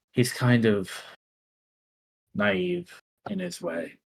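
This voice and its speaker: A man at medium pitch performs a put-on character voice. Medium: actual play. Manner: casual, teasing.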